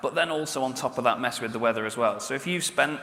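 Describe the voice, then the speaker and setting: In a British accent, a man speaks at a very fast pace with a medium pitch. Audible room echo and noticeable background noise are present. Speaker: game player and presenter at expo. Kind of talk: stage presentation. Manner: animated.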